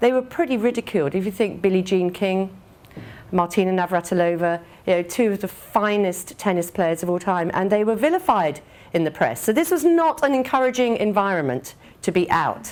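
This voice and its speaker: Speaking at a fairly quick pace with lively intonation, a woman uses a medium pitch and talks with an English accent. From England. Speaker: business executive. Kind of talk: speech. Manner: hesitant with many fillers.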